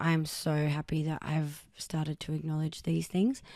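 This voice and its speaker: A woman with an Australian accent speaks at a moderate pace in a very deep, low voice. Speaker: podcast host. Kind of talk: personal monologue. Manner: casual and rambling with fillers.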